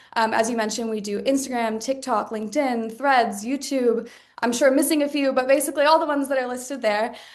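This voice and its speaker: The speaker's intonation is fairly even, and audible room echo surrounds the voice. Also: woman. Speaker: marketing director. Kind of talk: webinar presentation. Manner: fast.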